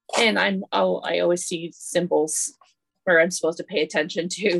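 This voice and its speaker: A woman talks at a fairly low pitch with vocal fry. The sound is dry and close, with no echo. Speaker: artist and author. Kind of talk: interview conversation. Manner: animated, enthusiastic.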